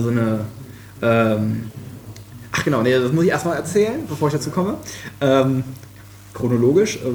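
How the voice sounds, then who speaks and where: A man talks at a medium pitch and moderate pace with ordinary pitch variation, amid noticeable background noise and audible room echo. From western Germany, Krefeld. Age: 20s. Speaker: software developer. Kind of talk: casual chat. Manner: halting, many fillers.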